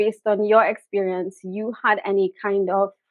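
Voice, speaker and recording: A woman's fairly high-pitched voice with a Trinidadian accent. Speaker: business content creator. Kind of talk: interview question.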